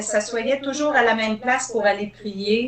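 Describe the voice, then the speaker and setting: A woman's fairly slow speech with ordinary pitch variation amid noticeable background noise. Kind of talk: interview questions.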